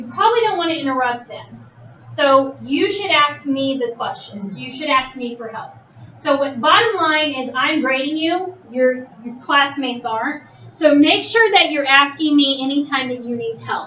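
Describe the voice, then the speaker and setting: In a room with audible echo, a woman uses a raised, projected voice at a high pitch, her lively intonation and moderate pace marked by big swings in loudness. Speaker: teacher. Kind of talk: classroom instruction. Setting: classroom.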